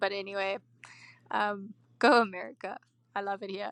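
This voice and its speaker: With a South African accent, a woman talks at a medium pitch, and the sound is dry and close with no echo. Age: 20s. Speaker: caller. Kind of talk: voicemail.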